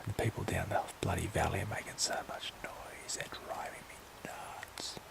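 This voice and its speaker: Noticeable background noise sits behind a man whispering in an Australian accent. His pace is moderate. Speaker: vlogger. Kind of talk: casual vlog monologue. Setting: outdoors, camping in the bush at night. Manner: hesitant, musing.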